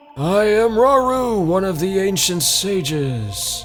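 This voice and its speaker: A man puts on a high-pitched character voice and talks at a fairly slow pace. Clear music plays in the background. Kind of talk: solemn game dialogue reading. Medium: game stream. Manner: grave, formal.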